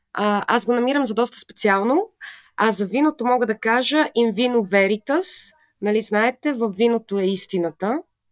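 A woman with an ordinary speaking voice and a fairly high pitch talks at a moderate pace, her pitch varying in an ordinary way. The sound is dry and close, with no echo. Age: 20s. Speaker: podcast co-host, QA engineer. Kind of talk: casual chat.

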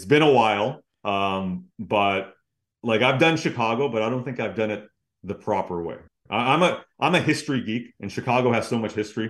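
Against a quiet background, a man with an unremarkable speaking voice talks at a moderate pace and medium pitch, with ordinary pitch variation. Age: 30s. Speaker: hockey analyst and broadcaster. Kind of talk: casual interview chat.

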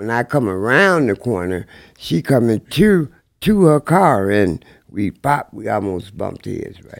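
In a very clean recording with a silent background, a man with an American accent talks in an unremarkable speaking voice at medium pitch. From Peoria, Illinois. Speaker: guest. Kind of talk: casual chat.

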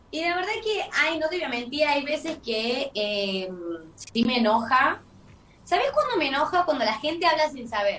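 Bright and sharp in tone, a woman with a Tucumán accent speaks at a high pitch with very wide pitch swings. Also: moderate pace. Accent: Tucumán accent, noticeable. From Tucumán, Argentina. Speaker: dancer and comedian, content creator. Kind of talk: interview.

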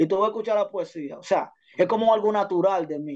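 Ordinary pitch variation marks the high-pitched voice of a man speaking at a very fast pace. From Dominican Republic, Santo Domingo barrio. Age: 20s. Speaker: music producer and urban artist. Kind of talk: casual interview.

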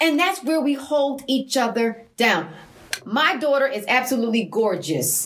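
Against noticeable background noise, a speaker with an American accent talks at a fairly slow pace with very wide pitch swings. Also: woman, high pitch for a woman, very even loudness. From Massachusetts, US. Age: 50s. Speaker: mother, guest.

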